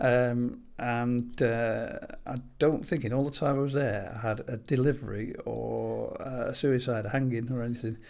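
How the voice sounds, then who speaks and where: Speaking at a moderate pace, the man has a medium pitch and a monotone, flat intonation. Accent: Manchester. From northern England, Greater Manchester. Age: 60s. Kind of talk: podcast interview. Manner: hesitant, many fillers.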